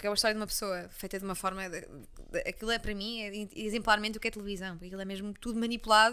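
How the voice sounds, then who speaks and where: Recorded very cleanly against a silent background, a woman with a Leiria accent talks very fast with hardly any pauses, her fairly high voice bright and sharp and her intonation fairly even. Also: big swings in loudness. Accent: Leiria accent, people mistake it for Cascais. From Portugal, Leiria. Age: 20s. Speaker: journalist and content creator. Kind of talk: casual interview chat. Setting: at the host's home.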